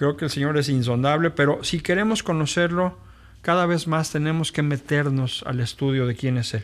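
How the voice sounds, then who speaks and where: The man talks at a moderate pace. His fairly high pitch varies in an ordinary way. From Mexico City. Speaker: pastor. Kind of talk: podcast introduction monologue. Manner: halting.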